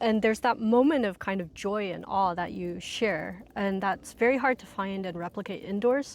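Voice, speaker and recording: Her voice is an unremarkable speaking voice, medium in pitch for a woman with ordinary pitch variation, moving at a moderate pace with hardly any pauses. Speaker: ecotherapy instructor. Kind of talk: casual interview conversation. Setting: outdoors.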